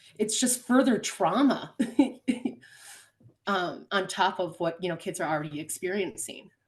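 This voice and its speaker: Lively intonation marks this woman's speech. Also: long, frequent pauses. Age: 30s. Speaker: podcast guest, former foster youth. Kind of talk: interview answer.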